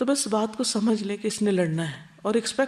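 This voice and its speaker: A woman has a normal speaking voice with a fairly high pitch. She speaks with lively intonation. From Pakistan. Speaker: Islamic scholar and preacher. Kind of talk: religious lecture.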